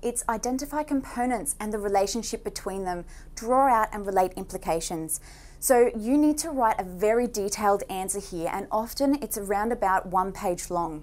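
A woman talks with ordinary pitch variation, keeping a moderate pace. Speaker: online tutor. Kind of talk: lecture. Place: studio.

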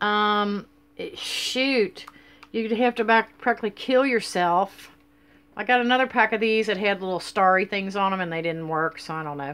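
The pace is moderate. Pitch moves in an ordinary way. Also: woman. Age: 50s. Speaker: vlogger. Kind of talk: casual vlog monologue. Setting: at home, filming on a selfie stick. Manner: rambling, hesitant with many fillers. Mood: relaxed, chatty. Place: home room. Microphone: webcam.

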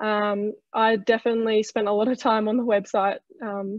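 A woman with an Australian accent speaks in a medium pitch with monotone, flat intonation, the sound dry with no echo against a quiet background. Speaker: trainee in horse racing leadership program; panelist. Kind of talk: webinar presentation. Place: home room. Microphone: video call.

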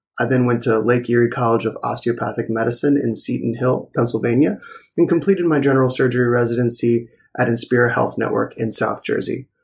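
Speaking very fast with an American accent, a man keeps a medium pitch. His voice is somewhat breathy and his intonation fairly even. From Maryland. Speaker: plastic surgery resident. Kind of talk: scripted narration.

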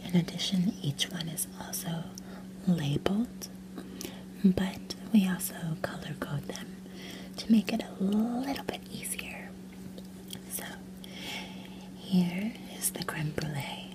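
Soft-spoken whispering at a fairly slow pace, with long, frequent pauses, big swings in loudness and noticeable background noise. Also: woman. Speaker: role-play chocolatier shop clerk. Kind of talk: ASMR whisper roleplay, chocolate shop tasting. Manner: whispered, soft-spoken.

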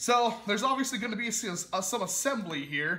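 A high-pitched man speaks in a raised, projected voice. His pace is moderate. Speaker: toy blaster reviewer. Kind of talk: casual product review to camera.

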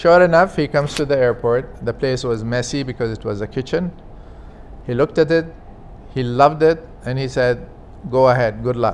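In an Arabic accent, a man speaks with ordinary pitch variation and long, frequent pauses over light background noise. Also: moderate pace. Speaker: former aviation official, business executive. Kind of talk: interview, personal recollection; interview answer. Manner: halting. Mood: animated, storytelling, warm. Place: home room. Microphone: lapel.

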